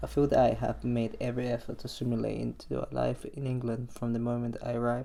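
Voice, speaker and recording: A man speaks with a Spanish accent. He talks very fast, with hardly any pauses. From Colombia. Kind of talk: personal narration. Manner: reflective.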